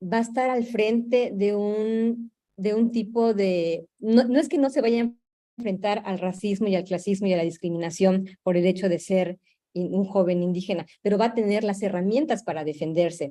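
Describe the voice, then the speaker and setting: A woman's dark, mellow voice at a medium pitch, with ordinary pitch variation and a moderate pace. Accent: Yucatecan. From Yucatán peninsula, Mexico. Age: young. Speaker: Maya youth cultural activist. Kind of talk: panel discussion. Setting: virtual broadcast. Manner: halting, with fillers and repetitions.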